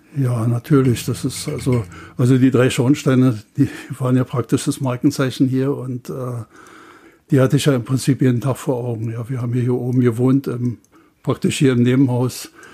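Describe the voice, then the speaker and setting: The man's tone is dark and mellow, somewhat breathy. His intonation stays monotone and flat. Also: medium pitch for a man, moderate pace. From Bernau, Brandenburg. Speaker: retiree and contemporary witness. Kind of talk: reminiscing interview. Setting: archive room on location. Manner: halting.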